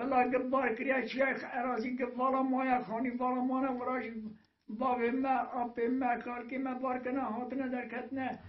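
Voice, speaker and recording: Extremely high male pitch in a monotone, flat delivery at a fairly slow pace, with audible room echo. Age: 80s+. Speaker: village elder. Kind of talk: oral history. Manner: halting, with many hesitations.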